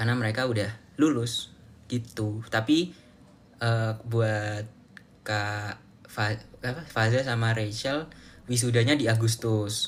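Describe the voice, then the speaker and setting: At a very slow pace, a man speaks in a somewhat breathy voice of medium pitch with fairly even intonation. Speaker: live streamer, student. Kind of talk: casual live stream chat. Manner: casual, halting with fillers.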